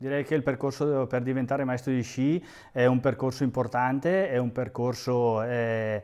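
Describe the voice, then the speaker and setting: At a moderate pace, a man speaks at a medium pitch with fairly even intonation over a quiet background. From northern Italy, Lombardy (Alpine valley). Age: 40s. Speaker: ski instructor and election candidate; ski instructor, election candidate. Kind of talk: interview; campaign appeal. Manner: hesitant, many fillers and repetitions. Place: home room. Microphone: phone near.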